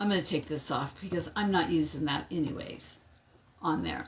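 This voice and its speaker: Noticeable background noise accompanies a woman whose fairly low voice keeps a fairly even intonation. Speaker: crafting livestream host. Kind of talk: live craft tutorial. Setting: livestream. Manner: casual, chatty.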